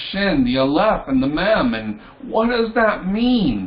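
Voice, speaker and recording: With audible room echo and noticeable background noise, the speaker goes at a fairly slow pace using very wide pitch swings. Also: man. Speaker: tarot and esoteric teacher. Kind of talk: lecture.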